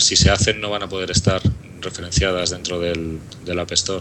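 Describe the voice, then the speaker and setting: In a Madrid accent, a man with a very deep, low pitch speaks in monotone, flat intonation over noticeable background noise. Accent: Madrid Peninsular Spanish. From Madrid, Spain. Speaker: app developer. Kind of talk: casual chat.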